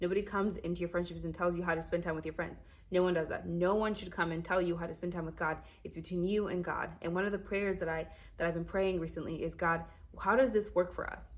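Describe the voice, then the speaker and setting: A woman's fairly low-pitched, animated voice with vocal fry, at a very fast pace. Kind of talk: casual faith talk to camera.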